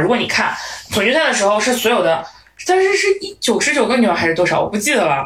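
Over noticeable background noise and audible room echo, a woman talks at a very fast pace in an animated tone, with a fairly high pitch and very wide pitch swings. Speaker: podcast co-host. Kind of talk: casual chat.

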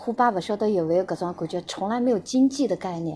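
Using an unremarkable speaking voice, this woman moves at a fairly quick clip and her intonation is lively. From Shanghai and Xinjiang. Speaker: guest sharing life story. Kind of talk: casual interview.

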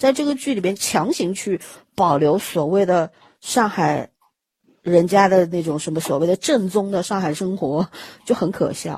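Somewhat breathy and at medium pitch, a woman speaks at a fairly slow pace with lively intonation. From Shanghai. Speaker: podcast host. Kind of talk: casual chat. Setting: remote recording.

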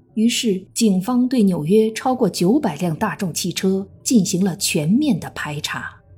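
A woman with a medium pitch and a dark, mellow tone talks at a fairly slow pace with hardly any pauses. Her voice is somewhat breathy and her intonation lively. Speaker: true crime podcast narrator. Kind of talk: true-crime narration, scripted storytelling. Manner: grave, measured, steady, suspenseful; formal, even, newsreader-like.

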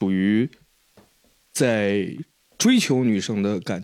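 A man speaking at a very slow pace. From Henan, Jiaozuo. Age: 20s. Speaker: podcast co-host. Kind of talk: casual chat. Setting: at host's home.

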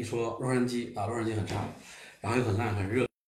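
The voice moves at a fairly quick pace, its tone dark, mellow and somewhat breathy. Audible room echo surrounds it. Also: man. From Beijing, China. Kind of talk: casual chat. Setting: living room gathering at host's home.

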